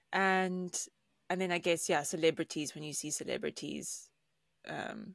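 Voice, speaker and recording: In a very clean recording with a silent background, a woman talks at a moderate pace with vocal fry and fairly even intonation. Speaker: podcast co-host. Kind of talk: casual chat.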